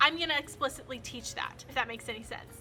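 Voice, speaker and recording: Music plays in the background as a woman speaks. Her raised, projected voice sits at a high pitch. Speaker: first year teacher. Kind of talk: casual talk to camera.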